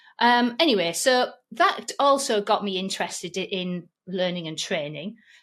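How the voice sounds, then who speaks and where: Here a woman with a medium pitch talks at a moderate pace with lively intonation. The recording is very clean, with a silent background. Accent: Yorkshire. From Yorkshire, northern England. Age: 50s. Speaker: online course trainer and podcast host. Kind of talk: interview conversation.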